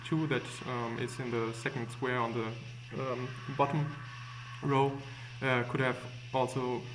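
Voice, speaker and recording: Audible room echo surrounds a man talking at a fairly slow pace, his medium-pitched voice held in a monotone, flat intonation. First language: not English. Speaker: gaming tutorial maker. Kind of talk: tutorial. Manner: hesitant, many fillers.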